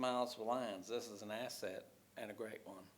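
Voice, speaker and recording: This man speaks with a West Texas accent at a fairly quick pace and medium pitch. His intonation is fairly even, and the room echo is audible. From Texas, Odessa. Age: 70s. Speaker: retired teacher speaking at public comment. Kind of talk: public comment at council meeting. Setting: city council chamber. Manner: formal, prepared statement.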